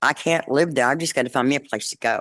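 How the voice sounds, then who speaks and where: A woman speaks with a Texan accent at a fairly quick pace. The background is quiet. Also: dry, close sound with no echo. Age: 60s. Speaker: resident making a public comment. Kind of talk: public comment at a council meeting. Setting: city council meeting.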